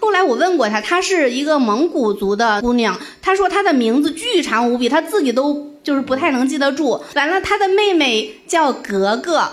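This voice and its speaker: A woman with a high-pitched voice that swings very widely in pitch. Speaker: comedian. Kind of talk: casual chat. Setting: stage with audience.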